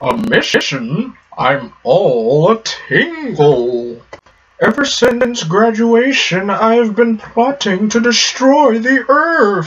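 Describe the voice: A put-on character voice with a fairly high pitch speaks at a very slow pace.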